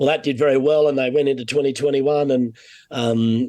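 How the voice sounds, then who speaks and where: Here a man speaks in a dark, mellow tone with monotone, flat intonation. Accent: Australian. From Australia (Sydney). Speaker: golf broadcaster. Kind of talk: casual chat.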